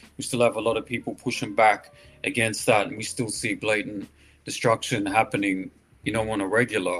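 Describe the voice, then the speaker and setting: A man talks at a fairly quick pace in an Australian accent. His intonation stays fairly even. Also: medium pitch for a man. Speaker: hip hop artist. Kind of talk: interview.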